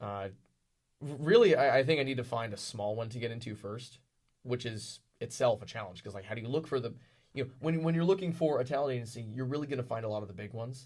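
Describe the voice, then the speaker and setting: Very fast, somewhat breathy male speech at a medium pitch, with ordinary pitch variation and big swings in loudness. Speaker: wrestling ring announcer. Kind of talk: interview answer. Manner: hesitant, halting.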